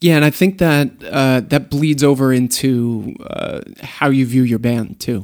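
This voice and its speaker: At a fairly slow pace and with hardly any pauses, a man talks in a normal speaking voice of medium pitch with ordinary pitch variation. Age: 30s. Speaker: event host and business partner. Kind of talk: interview. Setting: studio.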